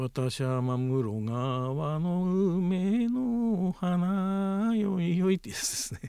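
A high-pitched man talks at a very slow pace with hardly any pauses and very wide pitch swings. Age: 70s. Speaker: son researching his late parents. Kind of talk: interview.

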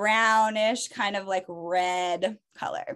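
A woman's animated tone. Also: quiet background. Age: 30s. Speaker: esthetician. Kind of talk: casual chat.

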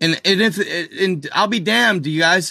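A man's high, raised and projected voice, animated in tone and bright and sharp, over a quiet background. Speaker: livestreamer. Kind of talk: casual livestream chat. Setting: live video stream. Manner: loud.

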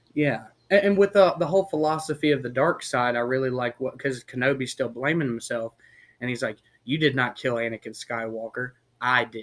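With big swings in loudness, a plain, everyday voice moves at a fairly quick pace with ordinary pitch variation. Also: man, medium pitch for a man. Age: 20s. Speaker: podcast guest, Star Wars fan. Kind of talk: casual chat. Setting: outdoors.

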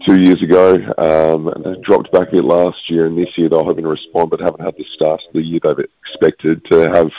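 Speaking at a fairly quick pace with a very deep, low pitch, a man with an Australian accent comes through in a dry, close sound with no echo. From Western Australia, Perth. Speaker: sports correspondent. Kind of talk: casual chat.

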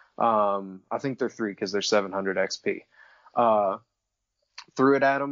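The speaker uses an unremarkable speaking voice, moving at a fairly slow pace with ordinary pitch variation. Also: man. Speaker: podcast guest. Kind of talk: casual chat.

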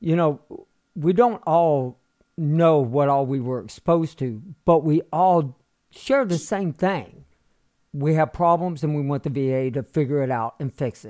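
A man's unremarkable speaking voice, fairly high in pitch, at a fairly slow pace with ordinary pitch variation, recorded very cleanly over a silent background. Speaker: podcast host, military veteran. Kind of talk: interview. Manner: casual, profane.

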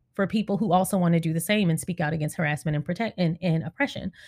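A somewhat breathy woman's voice at medium pitch, with ordinary pitch variation, on a very clean recording with a silent background. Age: 30s. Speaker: podcast host and YouTuber. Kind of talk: casual monologue.

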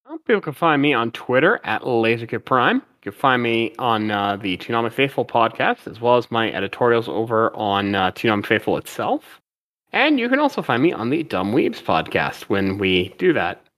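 A man talks at a moderate pace with hardly any pauses, in an ordinary speaking voice at medium pitch with ordinary pitch variation. The recording is very clean, with a silent background and a dry, close sound with no echo. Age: 40s. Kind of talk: casual chat.

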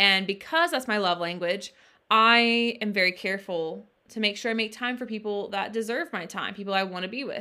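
Speaking at a fairly quick pace, a woman has an ordinary speaking voice at a medium pitch. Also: ordinary pitch variation. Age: 20s. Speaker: podcast co-host and author. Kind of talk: casual chat.

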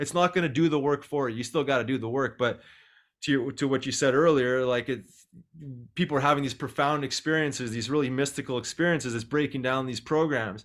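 Fairly even intonation from a man with a fairly high pitch. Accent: Canadian Prairies. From Canada, Winnipeg, Manitoba. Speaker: former pro hockey player, nonprofit co-founder. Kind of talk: interview.

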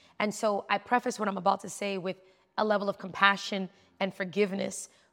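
This woman has a medium-pitched voice and speaks with a New York accent. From New York City. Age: 40s. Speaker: tech entrepreneur. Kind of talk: casual interview.

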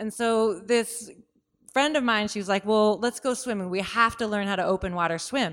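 A woman with an American accent has a plain, everyday voice and a fairly high pitch. She talks at a moderate pace with ordinary pitch variation. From US Pacific Northwest, Seattle. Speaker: ski mountaineer. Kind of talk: interview storytelling.

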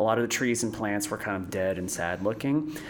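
A man with an American accent speaks at a fairly quick pace. Noticeable background noise runs beneath him. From Florida, New Smyrna Beach. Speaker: tea company co-founder. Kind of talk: interview.

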